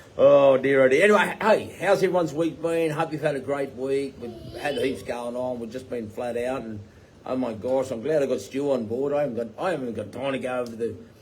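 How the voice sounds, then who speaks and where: Against noticeable background noise, a man with an Australian accent talks at a fairly quick pace. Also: medium pitch for a man, ordinary pitch variation. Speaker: tiny home builder and business owner. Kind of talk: live Q&A chat. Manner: rambling with fillers.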